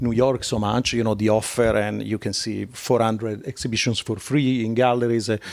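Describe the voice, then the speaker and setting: A man of medium pitch speaks with an Italian accent at a moderate pace. His intonation is monotone and flat, in a very clean recording with a silent background. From Italy. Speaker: art curator. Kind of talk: live interview conversation. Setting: live on stage with audience. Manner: hesitant with many fillers.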